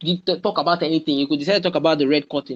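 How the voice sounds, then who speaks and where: A man's voice in a dry, close sound with no echo. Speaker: public speaking coach. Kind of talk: webinar talk. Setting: video call. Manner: animated.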